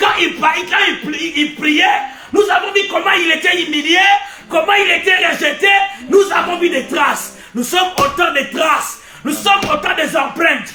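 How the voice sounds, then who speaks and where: Shouting in a raised, projected voice with an animated tone, the speaker moves at a fairly slow pace amid audible room echo and music in the background. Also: man, extremely high pitch for a man. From Africa. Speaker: preacher. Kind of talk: sermon. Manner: loud, shouting.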